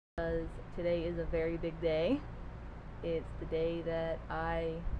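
Noticeable noise fills the background. Through it, a man talks. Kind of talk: casual talk to camera. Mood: earnest, marking a milestone. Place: home room. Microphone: webcam.

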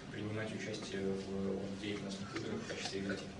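A man is speaking with noticeable background noise. Audible room echo surrounds his voice. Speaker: lecture series organizer. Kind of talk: lecture introduction. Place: classroom. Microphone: camera far.

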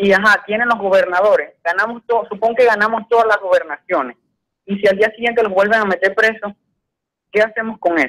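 A man with a Venezuelan accent, high-pitched for a man, bright and sharp in tone, at a fairly quick pace and very even loudness, over a quiet background. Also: ordinary pitch variation. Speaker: caller. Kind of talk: phone-in comment. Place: studio. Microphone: studio mic.

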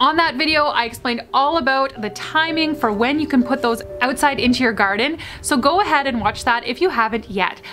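A woman talks in a raised, projected voice at a fairly quick pace. There is light background noise. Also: ordinary pitch variation. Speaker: home gardening vlogger. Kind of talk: casual vlog chat. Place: street.

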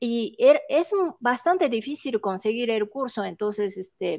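In a Japanese accent, a woman speaks at a high pitch and a fairly slow pace over a quiet background. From Japan, Shiga prefecture. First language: Japanese (speaking Spanish). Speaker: art professor and researcher; art professor. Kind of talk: interview. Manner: halting, many fillers. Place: home room. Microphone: earbuds.

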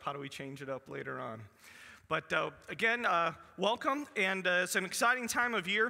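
A man talks at a fairly quick pace in a bright, sharp tone with vocal fry. The background is quiet. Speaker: pastor. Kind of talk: church announcements and prayer. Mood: warm, then prayerful. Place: church.

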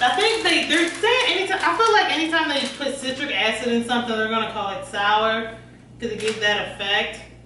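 At a fairly quick pace, a woman with a high pitch speaks amid audible room echo and light background noise. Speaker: food reviewer. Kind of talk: casual vlog chat. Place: kitchen. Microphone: camera far.

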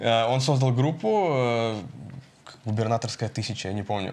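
Ordinary pitch variation runs through a man's medium-pitched voice. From Kursk, Russia. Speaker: stand-up comedian. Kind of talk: casual chat. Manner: storytelling, animated. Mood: amused, storytelling. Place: studio.

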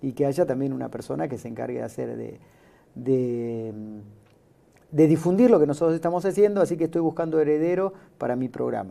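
A man's dark, mellow voice at a fairly quick pace, with big swings in loudness and long, frequent pauses. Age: 50s. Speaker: podcast host. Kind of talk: interview show hosting. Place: studio. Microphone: lapel.

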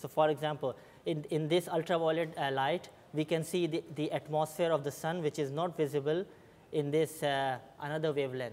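Fairly quick delivery with fairly even intonation. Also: man. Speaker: lecturer. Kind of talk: lecture. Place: hall. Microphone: lapel.

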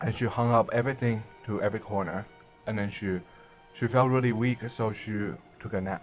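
A man speaking at a fairly quick pace with fairly even intonation, faint music in the background. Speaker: food vlogger. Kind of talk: casual vlog chat, storytelling while eating. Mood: relaxed, telling ghost story. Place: home room.

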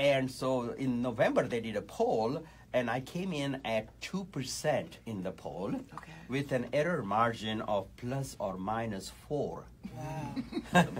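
A man speaks very slowly with vocal fry and lively intonation. Light background noise is present. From India. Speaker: political candidate; candidate. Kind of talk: radio interview. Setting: radio studio. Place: studio. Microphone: studio mic.

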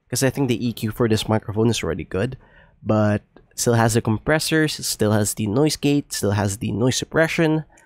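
A man speaks with lively intonation. His pitch sits in the medium range.

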